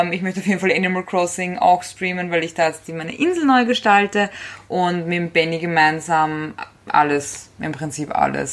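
A woman with an unremarkable speaking voice talks at a moderate pace. Her pitch is fairly low, with ordinary pitch variation. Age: 20s. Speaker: podcast co-host. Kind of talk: casual chat.

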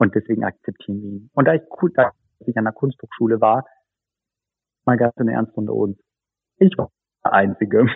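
Here a man talks at a fairly quick pace. Long, frequent pauses break up his speech. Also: ordinary pitch variation. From northern Hesse, Germany (near Kassel). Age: 30s. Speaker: photographer and art director. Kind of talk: personal interview, life story. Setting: video call. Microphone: video call audio, lower than studio quality.

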